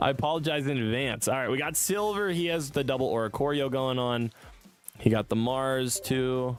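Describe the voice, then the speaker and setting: A man talks with a medium pitch. Background music plays behind him. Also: ordinary pitch variation, moderate pace. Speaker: gaming streamer. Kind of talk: live game commentary.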